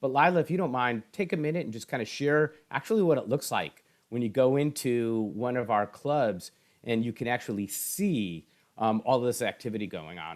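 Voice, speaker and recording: A man with a normal speaking voice talks at a moderate pace, his medium pitch carried by lively intonation. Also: very clean recording, silent background. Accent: American. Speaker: esports education foundation executive. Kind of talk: interview.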